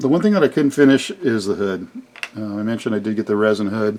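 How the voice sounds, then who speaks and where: This is a man speaking. His pitch is fairly low. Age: 60s. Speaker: scale model hobbyist video host. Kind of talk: casual tutorial-style build showcase. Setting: home model garage workshop. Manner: hesitant, many filler words.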